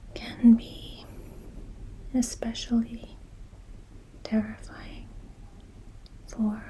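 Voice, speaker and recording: Someone whispers at a very slow pace, leaving long, frequent pauses, with noticeable background noise behind them. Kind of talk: ASMR soft-spoken talk on recovery. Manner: soft-spoken.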